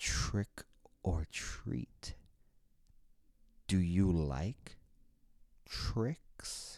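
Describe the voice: A put-on character voice, raspy and gravelly, very deep and low in pitch, with a menacing, sinister tone.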